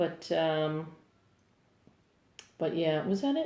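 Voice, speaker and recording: With an American accent, a woman speaks in a dark, mellow tone amid audible room echo. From New Jersey, Asbury Park. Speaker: singer-songwriter. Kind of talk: casual livestream chat. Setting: livestream answering viewer comments.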